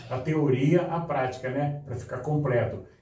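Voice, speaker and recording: With noticeable background noise and audible room echo, a man speaks at a moderate pace in a fairly high pitch with ordinary pitch variation. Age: 70s. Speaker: filmmaker and carnival artist. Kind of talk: podcast interview.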